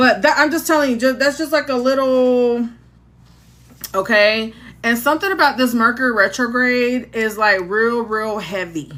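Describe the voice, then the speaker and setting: A woman with a high, bright, sharp voice talks at a moderate pace with lively intonation. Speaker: tarot reader livestreamer. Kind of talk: casual livestream chat. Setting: live stream. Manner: animated.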